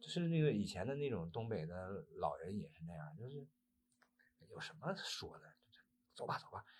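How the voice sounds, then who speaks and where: This man's medium-pitched voice carries vocal fry. His pitch swings very widely. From Northeast China. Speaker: actor. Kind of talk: interview. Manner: halting.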